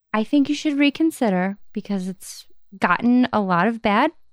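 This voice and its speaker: A voice with lively intonation speaks at a moderate pace, with a dry, close sound and no echo. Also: woman. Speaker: podcast co-host. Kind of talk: casual chat. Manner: loud when recording.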